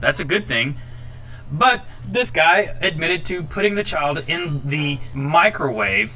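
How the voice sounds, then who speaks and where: Furious in tone, the speaker uses lively intonation over noticeable background noise. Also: man. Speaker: podcast ranter. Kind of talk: angry rant. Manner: furious, profane, loud.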